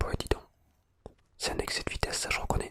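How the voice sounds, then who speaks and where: The speaker whispers in a relaxed tone. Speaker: ASMR content creator. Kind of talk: ASMR gameplay exploration, relaxed casual talk to camera. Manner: soft, relaxed, friendly.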